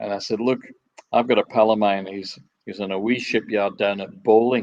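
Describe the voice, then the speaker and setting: At a moderate pace, a man with a Scottish accent talks in a fairly low pitch with monotone, flat intonation. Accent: Scottish, kept. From Scotland, Dumbarton area on the Clyde. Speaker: ferry designer. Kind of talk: interview.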